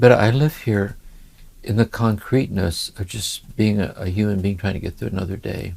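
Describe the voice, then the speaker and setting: A man's fairly low, somewhat breathy voice in an American accent, at a moderate pace with ordinary pitch variation. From US Midwest, Ohio. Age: 70s. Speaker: spiritual teacher. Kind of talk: conversational interview. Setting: home study. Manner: reflective, with many hesitations.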